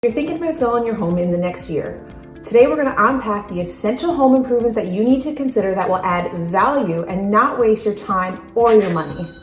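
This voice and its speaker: With music in the background, a woman speaks at a fairly quick pace with hardly any pauses. Her intonation is lively. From Newfoundland, Canada. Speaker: realtor. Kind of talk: real estate advice talk to camera.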